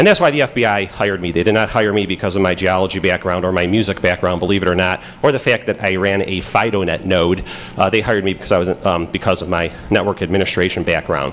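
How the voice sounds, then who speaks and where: Speaking very fast with a Chicago accent, a man uses a very deep, low pitch and fairly even intonation over noticeable background noise. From Pittsburgh. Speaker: FBI agent giving conference talk. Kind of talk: conference talk. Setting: stage with audience. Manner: casual, many fillers.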